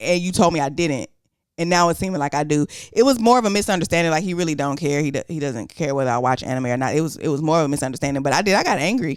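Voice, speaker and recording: Her voice is very deep and low for a woman, with lively intonation. She talks at a very fast pace. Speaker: podcast co-host. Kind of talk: casual chat. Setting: sitting on a couch.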